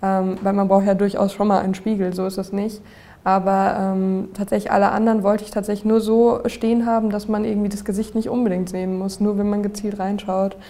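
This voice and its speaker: A woman's medium-pitched voice with a dark, mellow tone, flat and monotone in intonation, at a fairly quick pace. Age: 20s. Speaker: social media influencer on acne. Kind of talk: interview, personal testimony.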